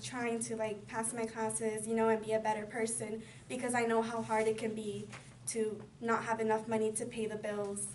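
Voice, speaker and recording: A woman speaks with a fairly high pitch. Room echo is audible around her voice. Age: 20s. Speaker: community college student. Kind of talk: personal introduction speech. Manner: halting, many fillers.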